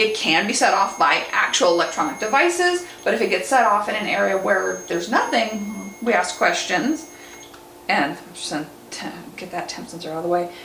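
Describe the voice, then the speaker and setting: Animated in tone, a woman talks at a fairly quick pace with big swings in loudness. Noticeable background noise and audible room echo are present. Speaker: paranormal investigator and medium. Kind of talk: casual explanation during an investigation.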